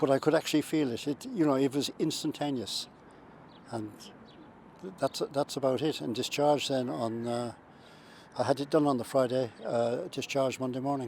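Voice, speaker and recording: Speaking in a Limerick accent, a man with a medium-pitched voice uses ordinary pitch variation and leaves long, frequent pauses. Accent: Irish (Limerick). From Ireland, County Limerick. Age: 70s. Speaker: heart patient. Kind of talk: testimony. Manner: halting, many fillers and repetitions.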